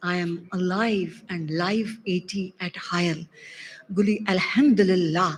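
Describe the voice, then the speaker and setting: Amid noticeable background noise, a woman with a non-native accent and a medium pitch speaks at a very slow pace with fairly even intonation. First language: not Arabic. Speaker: doctor attending conference. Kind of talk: audience testimony of gratitude.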